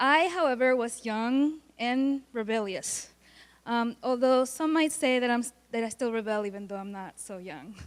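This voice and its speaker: A woman speaks at a moderate pace in a high voice with ordinary pitch variation and big swings in loudness. The recording is very clean, with a silent background. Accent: slight Puerto Rican. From Puerto Rico. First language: Spanish. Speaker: college student. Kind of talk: student presentation. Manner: halting.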